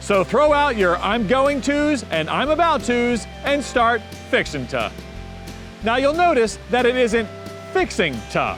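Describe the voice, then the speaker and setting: With music in the background, a man with an American accent speaks at an extremely high pitch and a fairly slow pace, his intonation lively. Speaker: host. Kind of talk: casual talk to camera.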